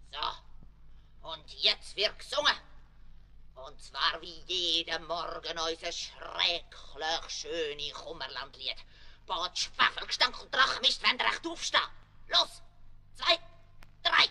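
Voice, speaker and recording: A put-on character voice at a middle pitch, fairly slow, with long, frequent pauses. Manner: strict, barking.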